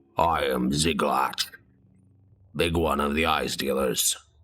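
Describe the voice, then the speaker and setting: A man puts on a character voice that is raspy and very deep, low in pitch. He delivers it at a fairly slow pace. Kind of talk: broken speech. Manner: gruff.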